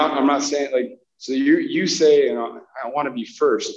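Fairly even intonation and a moderate speed from a man with a normal speaking voice. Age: 30s. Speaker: army staff sergeant. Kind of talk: casual chat. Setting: in person, walking around.

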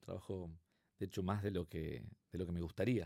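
At a moderate pace, a man with an Argentine accent talks in a dark, mellow tone on a very clean recording with a silent background. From Argentina, Buenos Aires. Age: 50s. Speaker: consulting firm co-founder. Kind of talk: interview.

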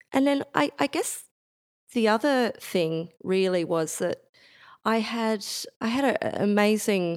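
An Australian accent at a fairly slow pace, in a very clean recording with a silent background. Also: woman, long, frequent pauses, very even loudness. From Bendigo, Central Victoria, Australia. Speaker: exhibition designer. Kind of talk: interview conversation.

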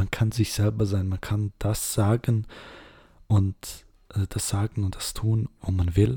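The voice is somewhat breathy with a dark, mellow tone, recorded very cleanly over a silent background. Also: man. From Switzerland, Serbian roots. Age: 20s. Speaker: podcast host, cosplayer. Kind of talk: casual monologue.

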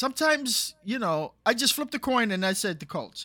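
With an American accent, a man projects a raised, extremely high-pitched voice, bright and sharp in tone, on a very clean recording with a silent background. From New York. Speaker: podcast co-host. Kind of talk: casual chat.

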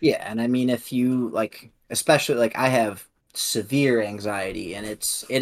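With a Midwestern US accent, a man talks in a medium pitch with fairly even intonation. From Illinois. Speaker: podcast co-host. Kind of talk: casual chat.

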